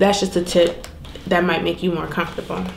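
A woman speaks at a fairly low pitch with monotone, flat intonation. The recording has audible room echo and light background noise. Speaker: lifestyle vlogger. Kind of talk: casual vlog chat.

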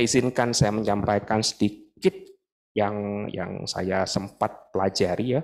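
A man speaks in a plain, everyday voice at a fairly slow pace and fairly low pitch. His pitch varies in an ordinary way over a quiet background. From Indonesia, Bandung; Indonesia. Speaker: dental professor, guest lecturer. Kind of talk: lecture. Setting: lecture hall with audience. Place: hall. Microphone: handheld.

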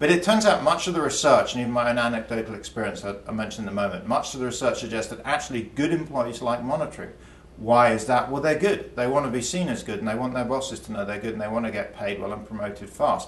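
With an English accent, a man speaks at a very fast pace with hardly any pauses. His intonation is lively, and room echo is audible. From England. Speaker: economics professor. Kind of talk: explanatory interview talk. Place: studio.

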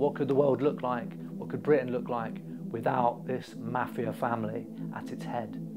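A man's moderate-paced speech comes with clear music in the background. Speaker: political commentator. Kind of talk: commentary. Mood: critical, impassioned. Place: home room. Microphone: lapel.

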